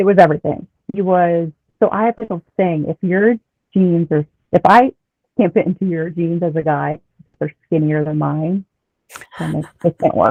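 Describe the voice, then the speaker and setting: A woman's fairly low voice with a slight Philadelphia accent, ordinary pitch variation, a moderate pace and long, frequent pauses. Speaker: former reality show contestant. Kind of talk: casual interview chat.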